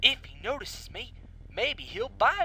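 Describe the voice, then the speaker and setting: This is a put-on character voice. Clear background noise runs behind it. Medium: read story. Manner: eager, excitable.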